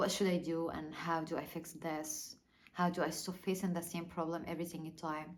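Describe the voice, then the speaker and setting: A woman's monotone, flat delivery with audible room echo. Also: moderate pace. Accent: non-native. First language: not English. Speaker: small YouTuber. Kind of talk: personal vlog monologue. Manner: halting, many fillers and repeats.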